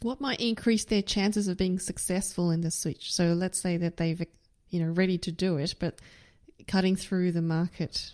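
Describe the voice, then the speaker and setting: This woman has a plain, everyday voice pitched in the middle of her range. She keeps a moderate pace, and her intonation stays fairly even. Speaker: podcast host. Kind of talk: interview.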